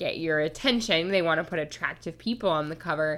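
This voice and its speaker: Fairly quick female speech in a very clean recording with a silent background. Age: 20s. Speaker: podcast co-host. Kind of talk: casual chat.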